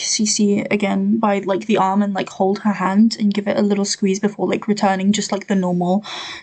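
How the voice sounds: A natural reading voice carries the words in this clip.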